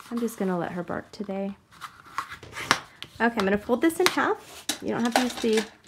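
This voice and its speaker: The intonation is lively and the pace fairly quick, broken by long, frequent pauses. Noticeable background noise runs underneath. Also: woman, fairly high pitch for a woman. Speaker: card-making crafter. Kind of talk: tutorial. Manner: soft-spoken today; talking softly.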